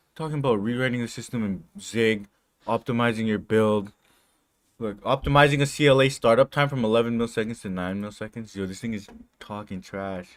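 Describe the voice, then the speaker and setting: A man with a non-native accent, medium pitch, ordinary pitch variation, a fairly quick pace and big swings in loudness. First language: not English. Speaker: coding streamer. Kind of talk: casual chat. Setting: live stream. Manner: animated.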